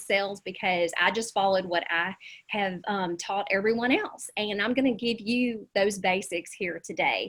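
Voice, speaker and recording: A woman at medium pitch and a moderate pace, with a Southern US accent. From US South. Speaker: real estate agent and coach. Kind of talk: webinar presentation.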